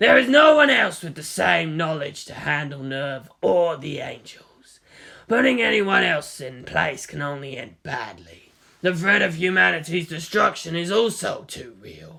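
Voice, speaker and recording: This man uses a put-on character voice that is raspy and fairly high in pitch. He moves at a moderate pace with lively intonation and big swings in loudness. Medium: read story.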